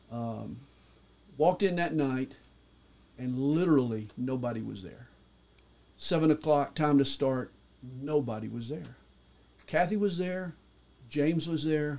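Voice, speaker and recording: A man with a Southern US accent speaks slowly in a fairly high pitch, with long, frequent pauses and big swings in loudness. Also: ordinary pitch variation. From US South, Atlanta, Georgia. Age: 60s. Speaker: pastor. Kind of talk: testimony.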